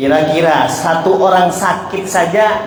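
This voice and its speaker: A man speaks with a Madurese accent and fairly even intonation. Noticeable background noise and audible room echo fill the recording. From Jember, East Java, Indonesia. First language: Madurese (speaking Indonesian). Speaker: Islamic preacher. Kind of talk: religious lecture. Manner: not fast, speaks slowly.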